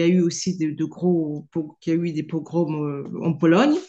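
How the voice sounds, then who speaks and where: Very slow female voice with a dark, mellow tone. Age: 60s. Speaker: participant. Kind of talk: question in a group session. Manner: halting.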